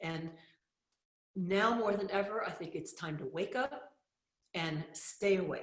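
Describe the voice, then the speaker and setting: At a fairly slow pace with long, frequent pauses, a woman talks at a medium pitch with ordinary pitch variation. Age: 60s. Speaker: spiritual teacher and author. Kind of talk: motivational talk.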